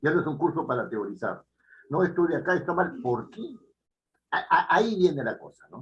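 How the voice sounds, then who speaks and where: Pausing long and often, a man speaks at a high pitch with lively intonation and big swings in loudness. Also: moderate pace. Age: 70s. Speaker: writing teacher. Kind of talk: lecture. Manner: halting.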